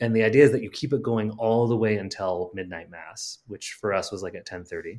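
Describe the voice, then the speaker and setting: A man speaks in a normal speaking voice at medium pitch, with ordinary pitch variation and a fairly quick pace. His loudness swings widely, and the recording is very clean with a silent background. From Western Wisconsin, La Crosse. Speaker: playwright. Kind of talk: casual interview.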